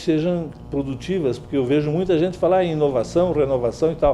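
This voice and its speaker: A man is speaking at a moderate pace. His tone is dark and mellow. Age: 60s. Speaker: journalist. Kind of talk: interview.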